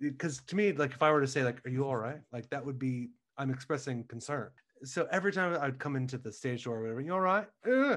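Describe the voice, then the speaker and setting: A man with an American accent, fairly high in pitch and very fast, over a quiet background. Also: ordinary pitch variation. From Ohio, US. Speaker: Broadway actor. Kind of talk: casual interview chat.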